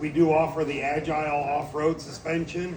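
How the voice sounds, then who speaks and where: A man with fairly high pitch amid noticeable background noise and audible room echo. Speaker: suspension sales expert. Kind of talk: product presentation. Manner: loud.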